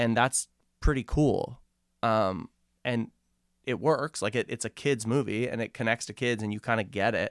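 A man at a medium pitch and moderate pace, with long, frequent pauses, in a dry, close sound with no echo on a very clean recording with a silent background. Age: 30s. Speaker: filmmaker and producer. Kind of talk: casual chat. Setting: studio. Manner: animated.

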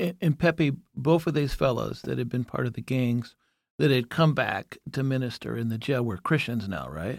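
In a very clean recording with a silent background, a man with a medium pitch and a normal speaking voice talks at a moderate pace with lively intonation. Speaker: jail ministry volunteer. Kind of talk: casual chat.

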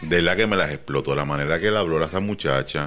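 The voice has ordinary pitch variation against noticeable background noise. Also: man. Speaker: podcast host. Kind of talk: casual chat. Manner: animated.

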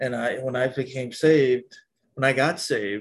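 Fairly even intonation marks the somewhat breathy speech of a man. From Micronesia (Pohnpei). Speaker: army veteran. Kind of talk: casual chat.

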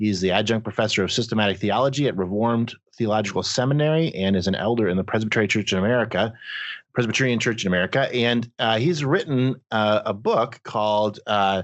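At a fairly quick pace, a man with a medium pitch and ordinary pitch variation talks in a plain, everyday voice. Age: 40s. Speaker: podcast host. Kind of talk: casual chat.

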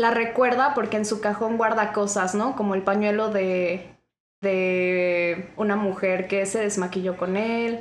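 Speaking in a normal speaking voice, a woman keeps a medium pitch, fairly even intonation, very even loudness and a fairly slow pace. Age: 20s. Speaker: podcast guest, literature graduate. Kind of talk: casual chat.

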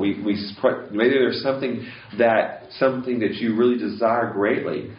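A man speaks at a medium pitch, with audible room echo around him. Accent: American. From US West Coast. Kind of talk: talk. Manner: halting.

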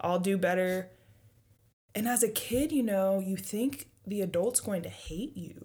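A woman speaks fairly slowly at a medium pitch, her tone dark and mellow. Her voice is somewhat breathy, with ordinary pitch variation. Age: 20s. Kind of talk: casual faith discussion.

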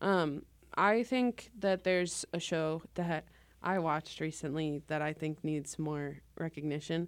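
A woman with a slight Midwestern US accent speaks at a fairly slow pace in a very deep, low pitch with ordinary pitch variation. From Springfield, Missouri. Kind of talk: casual chat.

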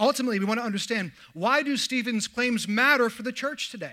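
Bright, sharp tone in a man's raised, projected voice. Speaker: pastor. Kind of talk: sermon.

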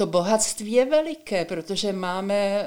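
A normal speaking voice with ordinary pitch variation at a fairly slow pace. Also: woman. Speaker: retired teacher and education reformer. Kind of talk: interview.

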